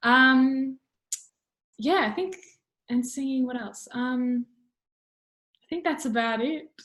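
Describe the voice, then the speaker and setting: Loud and high in pitch, a woman with an Australian accent speaks at a very slow pace with long, frequent pauses. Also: ordinary pitch variation. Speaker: musical theatre student. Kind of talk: casual interview. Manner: halting.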